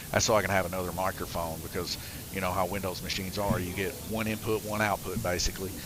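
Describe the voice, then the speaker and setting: Music sits in the background behind a man's voice. His fairly low pitch stays in a monotone, flat intonation. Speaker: slot car race commentator and track operator. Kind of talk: live stream commentary.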